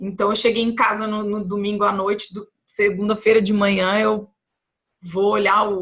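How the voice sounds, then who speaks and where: Here a woman speaks at a medium pitch. Her intonation is monotone and flat. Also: moderate pace. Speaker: health educator. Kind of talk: vlog monologue. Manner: conversational, with fillers and repetitions.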